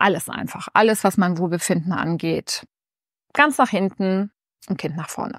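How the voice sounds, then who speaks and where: Against a quiet background, a woman speaks at a moderate pace with ordinary pitch variation and long, frequent pauses, in a dry sound with no echo. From Germany, Bonn (Rhineland); Germany. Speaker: lifestyle YouTuber. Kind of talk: casual vlog to camera. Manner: animated. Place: home room. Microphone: lapel.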